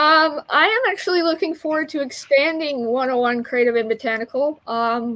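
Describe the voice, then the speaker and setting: With an American accent, a woman talks in a high pitch at a moderate pace, her intonation lively and with hardly any pauses. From Utah, Salt Lake City. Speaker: online community leader and herbal business owner. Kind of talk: podcast interview. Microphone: poor internet connection.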